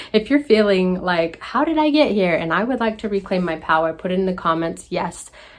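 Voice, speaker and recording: Lively intonation and an animated tone at a fairly quick pace, with hardly any pauses and noticeable background noise. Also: woman, medium pitch for a woman. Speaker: healing coach. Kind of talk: casual vlog monologue. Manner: quiet, soft-spoken.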